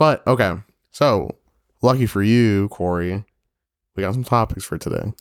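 Captured dry and close with no echo, a fairly low-pitched man speaks with long, frequent pauses. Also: ordinary pitch variation, moderate pace. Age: 30s. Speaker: podcast host. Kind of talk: casual chat.

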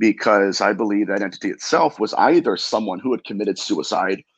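At a moderate pace, a man talks in a fairly low voice.

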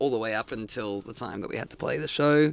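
A man with an Australian accent talks at a very fast pace. His pitch varies in an ordinary way. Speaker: punk band singer. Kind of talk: casual interview chat. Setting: band van. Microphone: sound distorted in places.

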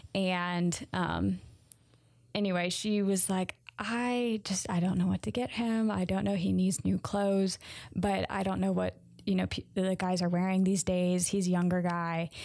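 With an American accent, a woman of medium pitch speaks at a fairly slow pace with very even loudness and fairly even intonation, in a very clean recording with a silent background. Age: 20s. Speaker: podcaster. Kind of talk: casual monologue.

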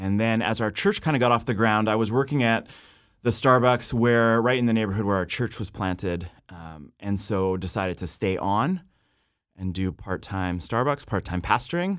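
A man with an unremarkable speaking voice and fairly low pitch speaks at a moderate pace with a Canadian accent, on a very clean recording with a silent background. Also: ordinary pitch variation. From western Canada (Abbotsford, British Columbia). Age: 30s. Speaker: pastor. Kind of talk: casual interview chat.

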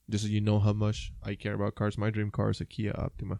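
The man's voice is fairly low, dark and mellow, delivered at a moderate pace. His intonation is monotone and flat, and the sound is dry and close with no echo. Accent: Puerto Rican. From Puerto Rico. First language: Spanish. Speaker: podcast co-host. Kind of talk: casual chat.

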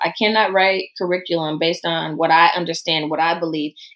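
At a moderate pace, a woman talks with a Southern US accent. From US South. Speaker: preacher and church researcher. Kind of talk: casual interview.

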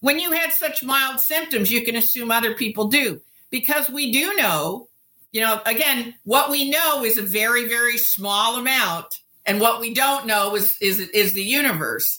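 An American woman talks at a moderate pace with a high pitch. Her tone is bright and sharp. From US. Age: 60s. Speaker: sociobiologist and futurist. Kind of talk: interview. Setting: remote call.

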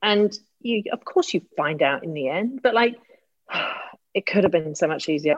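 A woman with a British accent, medium in pitch with very wide pitch swings, in a dry, close sound with no echo. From Britain. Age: 50s. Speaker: executive coach. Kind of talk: casual chat. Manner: animated.

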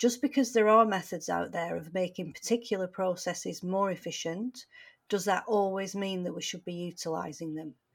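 Recorded very cleanly against a silent background, a woman with a British accent talks at a moderate pace and medium pitch, with ordinary pitch variation and big swings in loudness. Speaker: teacher and podcast co-host. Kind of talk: casual chat.

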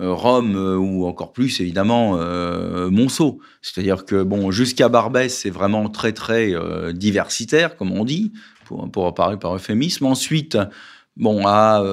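Speaking at a very slow pace, a man with a fairly low pitch and ordinary pitch variation comes through on a very clean recording with a silent background. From Paris, France. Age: 50s. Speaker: political candidate. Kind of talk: radio interview.

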